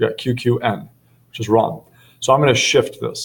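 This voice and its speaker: This man's voice is somewhat breathy, at a medium pitch and a moderate pace. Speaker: math teacher. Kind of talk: tutorial.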